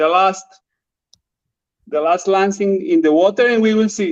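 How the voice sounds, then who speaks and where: A man speaks in a Spanish accent at a high pitch. His pace is fairly slow, with ordinary pitch variation. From Colombia. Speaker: drone videographer. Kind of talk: interview. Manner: halting non-native English; animated.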